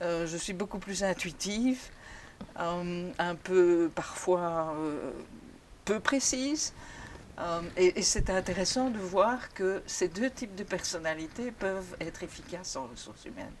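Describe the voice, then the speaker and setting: The woman's intonation is lively, at a medium pitch, and her loudness swings widely. She speaks at a very slow pace. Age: 60s. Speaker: retired HR mentor. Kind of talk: interview testimony.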